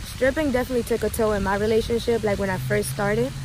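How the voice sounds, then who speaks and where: A woman talks at a very fast pace over noticeable background noise. The sound is dry, with no echo. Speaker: vlogger giving advice. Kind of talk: casual vlog chat answering questions. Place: garden. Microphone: phone near.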